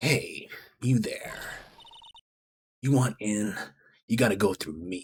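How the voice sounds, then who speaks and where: A man puts on a character voice at a medium pitch. He goes at a fairly slow pace with long, frequent pauses. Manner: gruff, challenging.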